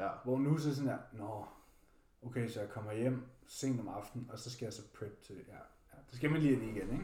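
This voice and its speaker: A man with a dark, mellow tone and a somewhat breathy medium-pitched voice speaks at a moderate pace, with ordinary pitch variation, big swings in loudness and audible room echo. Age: 20s. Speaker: bodybuilder and fitness podcast co-host. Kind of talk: casual chat.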